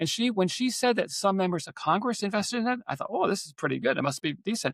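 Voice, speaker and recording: A man with lively intonation comes through a dry, close sound with no echo on a very clean recording with a silent background. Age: 60s. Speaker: podcast guest, retiree investor. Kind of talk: casual interview. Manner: halting, with repetitions.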